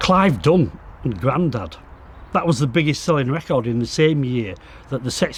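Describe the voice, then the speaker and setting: With a West Yorkshire accent, a man speaks at a moderate pace in a fairly high pitch. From northern England, Bradford. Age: 60s. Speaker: exhibition co-creator. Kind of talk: interview reminiscence. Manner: halting.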